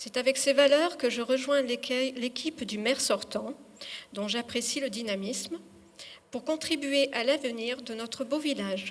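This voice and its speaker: A woman's high-pitched voice at a fairly slow pace, with ordinary pitch variation, over noticeable background noise. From Dordogne, France. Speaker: municipal election candidate. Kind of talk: public speech. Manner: halting.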